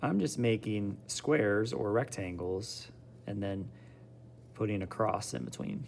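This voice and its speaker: The delivery is fairly slow with lively intonation. Vocal fry runs through the voice. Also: man, fairly low pitch for a man. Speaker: art teacher. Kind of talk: tutorial.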